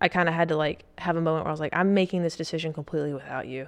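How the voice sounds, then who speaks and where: Against a quiet background, a woman with a Southern US accent talks at a very fast pace in a fairly low pitch. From US South. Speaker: Marine Corps officer. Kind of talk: casual chat. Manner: animated.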